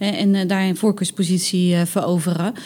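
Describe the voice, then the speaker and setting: Here is a normal speaking voice. The pace is fairly quick. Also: woman. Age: 30s. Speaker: recruitment communications specialist at a hospital. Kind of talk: casual interview. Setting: on location at workplace.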